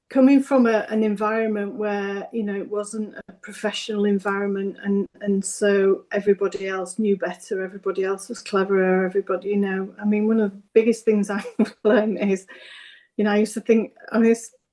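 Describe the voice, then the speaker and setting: At a fairly quick pace, a woman with a Yorkshire accent speaks at medium pitch in a dark, mellow tone. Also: fairly even intonation. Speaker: business owner, psychotherapy service co-founder. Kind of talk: interview. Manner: halting.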